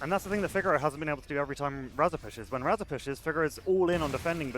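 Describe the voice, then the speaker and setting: With a British accent, a man talks at a very fast pace in a fairly high pitch as music plays in the background. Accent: completely British. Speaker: esports caster. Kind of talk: live commentary. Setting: live event stage.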